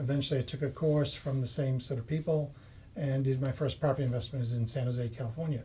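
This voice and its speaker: In a Boston accent, a man talks at a very fast pace with a dark, mellow, somewhat breathy tone at a medium pitch. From Massachusetts, US. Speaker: property investor. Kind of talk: interview.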